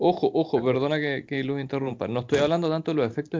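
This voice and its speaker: A man with a Chilean accent talks at a medium pitch. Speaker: podcast host. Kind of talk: casual chat.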